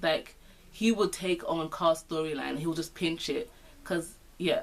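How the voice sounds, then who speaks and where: In a London accent, a woman speaks with ordinary pitch variation. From Britain. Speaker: vlogger. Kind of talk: casual talk to camera.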